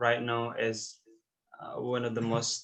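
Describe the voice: Audible room echo around a male speaker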